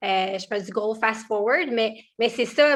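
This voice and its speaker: In a very clean recording with a silent background, a woman with a bright, sharp tone and fairly high pitch speaks fairly slowly with ordinary pitch variation. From Quebec, Quebec City and Montmagny region. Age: 30s. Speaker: entrepreneur. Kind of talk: interview. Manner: halting, many fillers.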